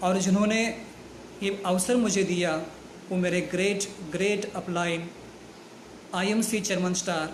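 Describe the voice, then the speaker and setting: This man's voice is high and flat, in a monotone. His words carry an audible room echo. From Kolhapur, Maharashtra, India. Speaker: network marketing distributor. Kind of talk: success story talk. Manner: formal.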